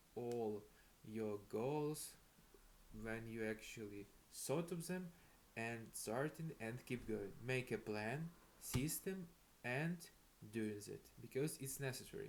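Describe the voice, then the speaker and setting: Using lively intonation and a medium pitch, a man with a non-native accent talks at a very slow pace with long, frequent pauses. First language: not English. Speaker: self-improvement vlogger. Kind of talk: casual motivational monologue. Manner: halting, many fillers.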